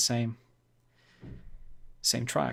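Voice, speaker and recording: This man speaks with a non-native accent. His pace is moderate. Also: very clean recording, silent background. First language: not English. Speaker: music producer streamer. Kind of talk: casual live stream feedback. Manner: halting.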